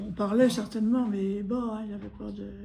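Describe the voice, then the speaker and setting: With audible room echo, a woman speaks at a moderate pace and fairly high pitch, her intonation monotone and flat. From Normandy, France (Granville). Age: 90s. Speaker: war-time witness. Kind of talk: testimony interview. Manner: halting.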